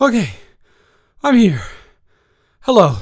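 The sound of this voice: A man puts on a character voice with an extremely high pitch and very wide pitch swings, speaking at a very slow pace.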